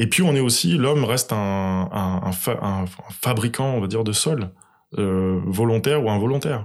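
In a very clean recording with a silent background, a man talks in a plain, everyday voice, his fairly low pitch moving with ordinary variation. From Senegal. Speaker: agronomist and soil specialist. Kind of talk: interview. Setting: farmhouse living room.

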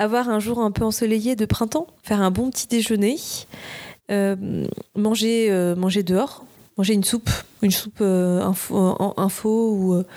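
Speaking fairly slowly with long, frequent pauses, a woman keeps a dark, mellow tone at medium pitch, very even loudness and fairly even intonation. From France, Nice. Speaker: screenwriter. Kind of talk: casual chat.

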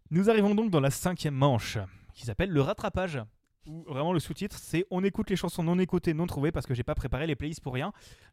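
A man speaks very fast with lively intonation and a high pitch. The sound is dry and close with no echo, a very clean recording over a silent background. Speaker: podcast host, blind test quiz master. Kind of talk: casual game show chat. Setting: in-person recording around a table.

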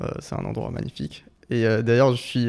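A man at medium pitch and moderate pace, with monotone, flat intonation. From Colombia, Bogotá. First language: Spanish (speaking French). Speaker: physics student. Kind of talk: casual chat.

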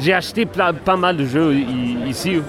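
A man at a very slow pace, with noticeable background noise and audible room echo. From Sweden, Gothenburg. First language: Swedish (speaking French). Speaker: game designer. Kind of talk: interview. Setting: convention floor. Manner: halting.

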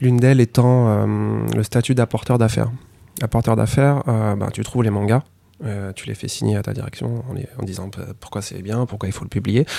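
His tone dark and mellow, a man speaks at a moderate pace and medium pitch with fairly even intonation and big swings in loudness. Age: 30s. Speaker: manga editorial director. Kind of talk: podcast interview.

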